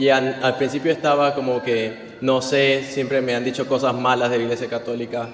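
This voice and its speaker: Against noticeable background noise, a man at a medium pitch speaks in a monotone, flat way. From Venezuela. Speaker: interpreter for his partner. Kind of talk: interpreting testimony.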